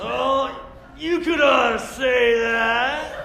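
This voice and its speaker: A man puts on a character voice pitched extremely high, with clear background noise and a slight echo. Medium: stage play.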